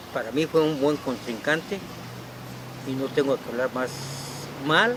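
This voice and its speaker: This man's voice sits fairly high in pitch, its rise and fall ordinary, with noticeable noise in the background. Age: 70s. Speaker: former political candidate. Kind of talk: interview. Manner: halting, stammering.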